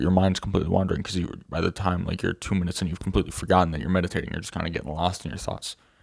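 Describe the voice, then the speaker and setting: Very deep and low in pitch, a man speaks with vocal fry and ordinary pitch variation. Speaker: self-improvement video creator. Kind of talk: casual talking-head monologue. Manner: fast; halting, many fillers and restarts.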